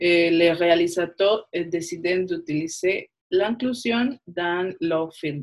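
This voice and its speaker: Speaking very slowly with a Spanish accent, the voice shows ordinary pitch variation. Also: woman. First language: Spanish (speaking French). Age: 20s. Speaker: film student. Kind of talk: panel discussion.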